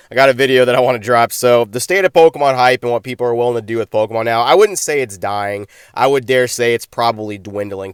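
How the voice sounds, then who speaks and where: A very fast pace with fairly even intonation. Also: man, dry, close sound with no echo. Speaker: pokemon card content creator. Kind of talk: casual commentary vlog.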